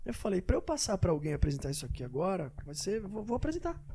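Talking very fast, a man has a dark, mellow tone. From São Paulo, Brazil. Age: 40s. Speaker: jiu-jitsu event promoter. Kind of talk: casual interview.

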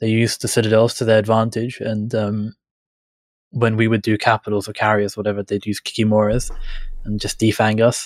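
On a very clean recording with a silent background and a dry, close sound with no echo, a fairly low-pitched man speaks at a fairly quick pace with monotone, flat intonation. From England. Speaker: gaming guest, council candidate. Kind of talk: casual chat.

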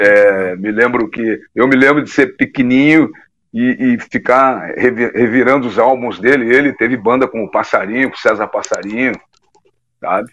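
This man has a normal speaking voice. His pitch sits in the medium range, with fairly even intonation and a moderate pace. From southern Brazil, Porto Alegre. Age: 50s. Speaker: musician. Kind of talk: casual chat.

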